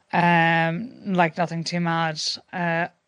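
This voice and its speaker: A woman with a Connacht accent speaks at fairly low pitch over a quiet background. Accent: Irish (Connacht). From Ireland, coastal Sligo. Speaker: stalking survivor and campaigner. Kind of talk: personal testimony in interview.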